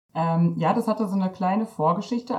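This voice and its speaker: A woman talks in a somewhat breathy voice at a medium pitch with ordinary pitch variation. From Germany, East Westphalia-Lippe. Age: 30s. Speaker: missionary. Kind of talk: interview.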